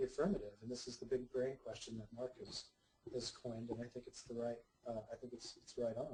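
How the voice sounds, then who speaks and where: Soft-spoken and somewhat breathy, the voice has a dark, mellow tone. It moves at a fairly quick pace. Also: man. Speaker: psychotherapist. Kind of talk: lecture. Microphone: sounds far away.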